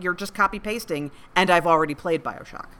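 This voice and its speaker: The woman talks at a very fast pace with ordinary pitch variation. Noticeable background noise runs underneath. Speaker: podcast co-host. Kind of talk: casual banter.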